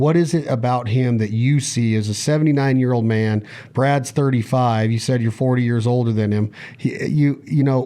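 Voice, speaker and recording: A man talks with fairly even intonation. He has an unremarkable speaking voice. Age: 40s. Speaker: podcast host. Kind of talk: podcast interview.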